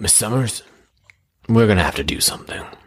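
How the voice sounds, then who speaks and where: Using a put-on character voice, a man rattles along at a very fast pace in a raspy, fairly low register. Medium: actual play. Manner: sarcastic, grumbling.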